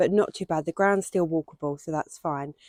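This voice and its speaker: A woman's dark, mellow tone in a dry, close recording with no echo. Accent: English. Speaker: allotment vlogger. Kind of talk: casual vlog. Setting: outdoors on allotment plot.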